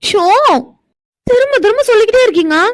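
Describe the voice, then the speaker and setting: A woman's put-on character voice, squeaky and extremely high-pitched, with lively intonation at a moderate pace. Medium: cartoon. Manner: indignant, sharp-tongued.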